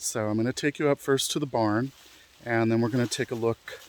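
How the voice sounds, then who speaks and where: An unremarkable speaking voice from a man at a medium pitch, fairly even in intonation and moderate in pace, with a dry, close sound and no echo. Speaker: outdoor exploration vlogger. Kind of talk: walking vlog narration. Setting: outdoors on a mountain trail.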